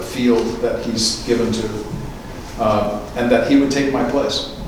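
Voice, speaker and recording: A man speaks with an American accent in a monotone, flat intonation. Audible room echo and noticeable background noise fill the recording. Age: 60s. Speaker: speaker on faith and film, radio host. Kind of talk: lecture. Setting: church with live audience.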